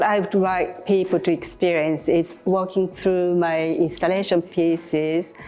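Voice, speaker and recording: Over music in the background, a woman with a Japanese accent speaks at a fairly slow pace in a fairly low, flat, monotone voice. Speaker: artist. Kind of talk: interview. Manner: halting.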